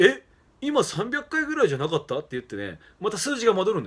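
Vocal fry marks this man's fairly quick speech. The pitch of his voice swings very widely. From Japan, Fukushima; Japan. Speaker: professional wrestler. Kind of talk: casual monologue. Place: home room. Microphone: phone near.

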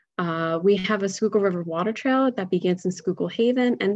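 A woman speaks with an American accent over a quiet background. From Philadelphia, Pennsylvania; Pennsylvania. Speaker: environmental education director; presenter. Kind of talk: webinar presentation. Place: home room. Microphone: webcam.

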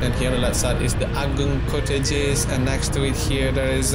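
A man speaks at a moderate pace with music behind him. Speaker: local driver vlogger. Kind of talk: casual tour commentary. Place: motorbike.

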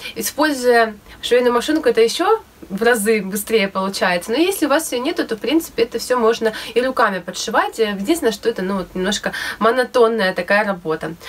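A woman's fairly high voice at a fairly quick pace, with lively intonation. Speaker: DIY sewing vlogger; DIY fashion vlogger. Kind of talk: casual tutorial vlog. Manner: hesitant with fillers.

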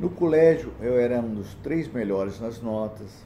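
A man speaks at a fairly slow pace, somewhat breathy, with a dark, mellow tone. Light background noise sits behind him. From Brazil, small interior town. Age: 60s. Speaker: church deacon giving a talk. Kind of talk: personal testimony talk. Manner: halting, with repetitions. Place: home room. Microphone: phone near.

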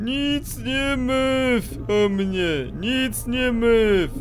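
A man puts on a character voice, guttural and growling, at an extremely high pitch. He goes very slowly over clear background noise.

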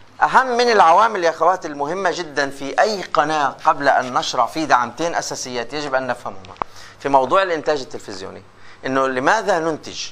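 This man uses a normal speaking voice with a fairly high pitch. He keeps a moderate pace over light background noise. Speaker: lecturer in radio and TV journalism. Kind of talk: lecture. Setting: classroom with students. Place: classroom.

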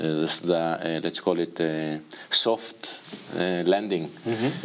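Using fairly even intonation, a man speaks at a fairly slow pace with a very deep, low pitch. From Israel. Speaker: entrepreneur. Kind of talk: interview. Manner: halting. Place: studio. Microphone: lapel.

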